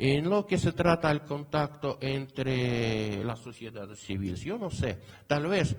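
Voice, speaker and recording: A man with a Portuguese accent talks at a very slow pace, his pitch fairly high and his intonation lively. Noticeable background noise runs underneath. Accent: non-native Spanish, Portuguese-tinged. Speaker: academic conference speaker. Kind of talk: conference talk. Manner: halting, many fillers.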